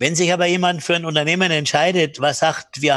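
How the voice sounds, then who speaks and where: A man with an ordinary speaking voice talks at a fairly high pitch with fairly even intonation. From Bamberg, Franconia, Germany. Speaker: hotelier and business trainer. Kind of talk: interview.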